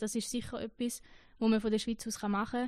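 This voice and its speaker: A woman speaks with a Schaffhausen accent at a fairly high pitch. The background is quiet. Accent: Schaffhausen Swiss German. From eastern Switzerland, canton Schaffhausen. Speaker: trainee pastor. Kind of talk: interview.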